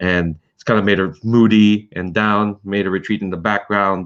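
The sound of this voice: This man has a fairly low pitch and a clear, smooth tone that comes across fairly bright. His pitch shows little movement. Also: moderate pace.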